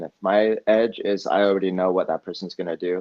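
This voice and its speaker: A man speaks with a West Coast accent. His pitch is fairly low and his intonation monotone and flat. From Eugene, Oregon, US Pacific Northwest. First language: Spanish. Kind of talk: podcast interview. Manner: casual, with many fillers.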